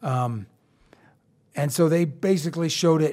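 A man with an American accent speaks at a moderate pace in a normal speaking voice. His pitch varies in an ordinary way, on a very clean recording with a silent background. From eastern Colorado, Rocky Ford. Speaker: military contractor and author. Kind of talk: casual interview. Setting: studio.

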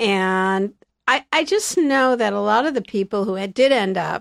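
An American accent on a very clean recording with a silent background, the sound dry and close with no echo. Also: woman. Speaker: stand-up comedian, magician, author and speaker. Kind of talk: casual interview chat, storytelling. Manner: animated, humorous.

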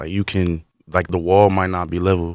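A man with an American accent speaks at a very deep, low pitch and fairly even intonation. The recording is very clean, with a silent background. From Camden, New Jersey. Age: 20s. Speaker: carpentry program graduate. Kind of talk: radio interview. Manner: halting.

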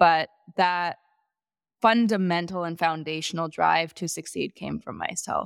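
A woman with an American accent speaks at a fairly slow pace and a fairly low pitch, her intonation fairly even but her loudness swinging widely. The recording is very clean with a silent background, and the sound is dry and close with no echo. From US Midwest (Wisconsin, Chicago suburbs). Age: 30s. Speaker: former gymnast and entrepreneur. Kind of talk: interview.

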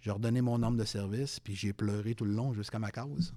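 Over a silent background in a very clean recording, a man speaks in a dark, mellow tone with ordinary pitch variation. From Quebec City. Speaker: retired police sergeant. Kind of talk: interview.

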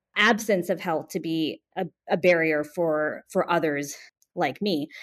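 Over a very clean recording with a silent background, a woman with an American accent and an ordinary speaking voice talks at a fairly slow pace with ordinary pitch variation. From US West Coast, Bay Area California. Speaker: physician and public health official. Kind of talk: interview.

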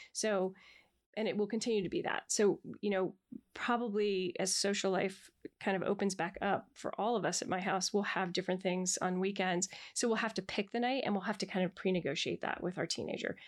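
A woman with a normal speaking voice, medium in pitch, at a fairly quick pace with very even loudness and fairly even intonation, in a very clean recording against a silent background. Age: 50s. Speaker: therapist. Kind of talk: casual chat.

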